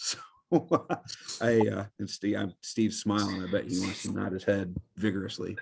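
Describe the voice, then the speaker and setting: A man with an American accent speaks at a fairly low pitch, with vocal fry and monotone, flat intonation. His pauses are long and frequent. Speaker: state government lawyer. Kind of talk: webinar presentation. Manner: loud; fast.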